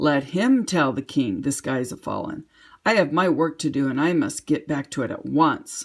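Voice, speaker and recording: A raspy, put-on character voice sits at a middle pitch and moves at a moderate pace. The recording is very clean, with a silent background. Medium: read story.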